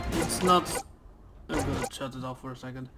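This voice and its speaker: On a very clean recording with a silent background, a man with a Dutch accent speaks in a bright, sharp tone. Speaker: gaming YouTuber. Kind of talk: let's play commentary. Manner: reads on-screen text aloud; casual, hesitant.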